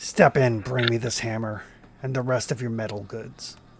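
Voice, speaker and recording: Putting on a booming character voice at a medium pitch, a man speaks at a moderate pace. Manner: commanding.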